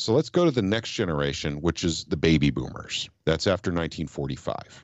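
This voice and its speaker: A man speaks with a very deep, low pitch and vocal fry. His intonation is lively and his pace fairly quick. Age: 50s. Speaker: political activist. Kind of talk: casual chat.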